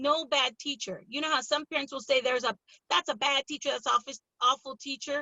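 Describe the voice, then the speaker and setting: Loud and animated, a woman with an American accent speaks at a high pitch. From California, Pittsburg (Bay Area). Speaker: school board candidate. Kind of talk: interview. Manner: loud, animated.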